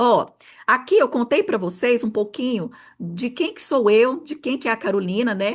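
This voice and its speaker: A woman's fairly high, animated voice with very wide pitch swings at a moderate pace over a quiet background. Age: 40s. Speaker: therapist and mentor. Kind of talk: online workshop talk.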